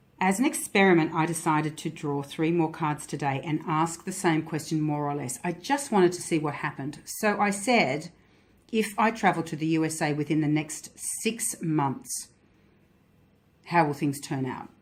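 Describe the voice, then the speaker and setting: Over a very clean recording with a silent background, a woman with an Australian accent speaks in a very deep, low voice with ordinary pitch variation. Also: moderate pace. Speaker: tarot and Lenormand card reader. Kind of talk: card reading vlog. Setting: handheld camera. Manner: pausing.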